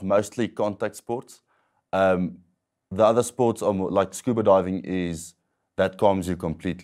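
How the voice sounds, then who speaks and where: A man's normal speaking voice, a normal speaking voice, with ordinary pitch variation at a fairly slow pace against a quiet background. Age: 20s. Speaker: wheelchair athlete with paraplegia. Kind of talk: interview testimony. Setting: studio. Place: studio. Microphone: lapel.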